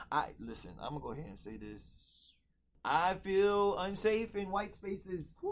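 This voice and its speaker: Big swings in loudness mark a man's speech with an American accent and audible room echo. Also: moderate pace. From North Philadelphia, US. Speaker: podcast host and stage actor. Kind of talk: casual roundtable chat; scripted intro.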